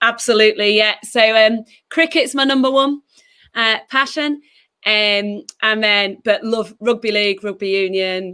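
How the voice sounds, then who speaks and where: A woman speaks at a moderate pace with a slight Yorkshire accent. Her pitch sits fairly high, with ordinary variation. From northern England, West Yorkshire. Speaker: church children's and youth ministry director. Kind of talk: livestream interview.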